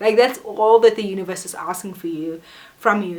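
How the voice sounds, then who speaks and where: An animated woman talks at a fairly quick pace with ordinary pitch variation while noticeable background noise runs behind her. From South Africa. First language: not English. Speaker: vlogger. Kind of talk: casual motivational vlog. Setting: alone in her room.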